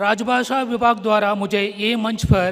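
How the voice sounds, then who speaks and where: A man's voice with fairly even intonation. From Tamil Nadu, South India. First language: Tamil (speaking Hindi). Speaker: public sector company director. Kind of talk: formal ceremony speech.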